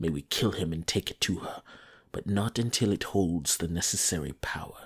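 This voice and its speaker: A man puts on a growling character voice, pitched very deep and low. He talks at a moderate pace. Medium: read story. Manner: snarling, domineering.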